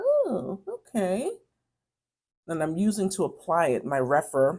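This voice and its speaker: A woman speaks in a New York accent with a dark, mellow tone. The recording is very clean, with a silent background. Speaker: beauty vlogger. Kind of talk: casual chat while doing makeup. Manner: chatty, conversational; hesitant, many fillers.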